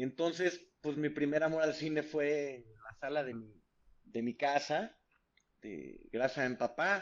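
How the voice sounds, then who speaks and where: A man's fairly high voice at a very slow pace, with big swings in loudness and ordinary pitch variation. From Mexico, San Luis Potosí. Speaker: film director. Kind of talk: casual interview.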